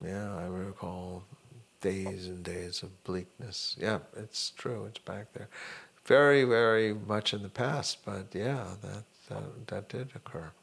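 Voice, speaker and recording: Someone with an American accent speaks at a very slow pace with ordinary pitch variation. The loudness swings widely. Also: man, fairly low pitch for a man. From Miami, Florida. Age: 60s. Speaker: retired accounting professor. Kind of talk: interview.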